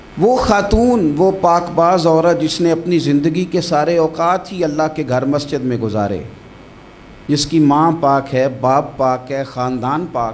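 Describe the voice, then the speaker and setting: The speaker's intonation is lively, with light background noise. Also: man, fairly high pitch for a man. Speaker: Islamic preacher. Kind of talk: religious sermon (bayan). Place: studio. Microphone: studio mic.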